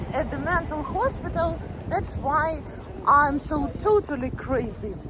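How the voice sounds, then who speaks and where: Woman with a strong Ukrainian accent, high pitch, ordinary pitch variation, fairly slow pace, noticeable background noise. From Ukraine. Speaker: video blogger and teacher. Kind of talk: casual vlog talk to camera. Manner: halting.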